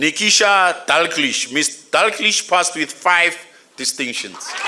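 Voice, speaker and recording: Against noticeable background noise, a man with a high pitch speaks at a fairly slow pace. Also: ordinary pitch variation. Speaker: graduation ceremony announcer. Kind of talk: reading names at graduation ceremony. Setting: graduation hall with audience.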